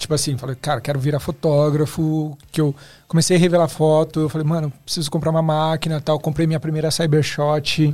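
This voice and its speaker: A man talks at a fairly quick pace in a monotone, flat intonation with hardly any pauses. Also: fairly high pitch for a man. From Osasco, São Paulo, Brazil. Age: 30s. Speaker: photographer and video director. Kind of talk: casual podcast interview.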